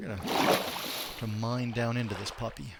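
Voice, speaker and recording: With an American accent, a man speaks at a moderate pace and medium pitch with ordinary pitch variation, amid noticeable background noise and audible room echo. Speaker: gamer streamer. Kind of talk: live gameplay commentary. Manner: casual, conversational.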